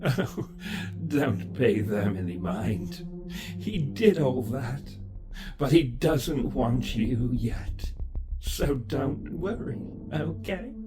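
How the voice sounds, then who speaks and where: A man in a soft-spoken, gentle-toned put-on character voice with some hissing speaks at a medium pitch and a very slow pace, leaving long, frequent pauses. Loud music plays in the background. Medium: audio drama. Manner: gentle and coaxing, oddly unbothered.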